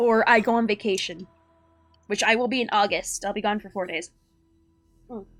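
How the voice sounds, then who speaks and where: A woman's fairly high voice with long, frequent pauses over music in the background. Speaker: vtuber streamer. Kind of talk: casual live stream chat. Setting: live stream. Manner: casual, many fillers (um, like).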